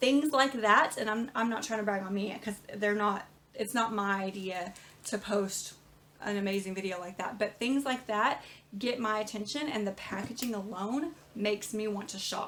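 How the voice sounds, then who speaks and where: A woman with a fairly high pitch and ordinary pitch variation speaks over noticeable background noise. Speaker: small business owner teaching online. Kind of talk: tutorial. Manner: fast.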